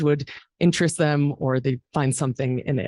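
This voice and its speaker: At a moderate pace, a woman talks in a very deep, low pitch, her voice shaky and the sound dry and close with no echo. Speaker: arts fundraising executive. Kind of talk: memorial speech. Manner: shaky voice.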